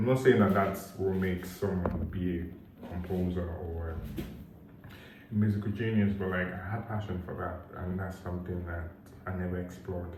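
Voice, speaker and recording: Speech in a monotone, flat intonation moves at a moderate pace, with noticeable background noise and audible room echo. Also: man. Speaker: vlogger. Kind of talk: casual vlog monologue. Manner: hesitant, filler-heavy.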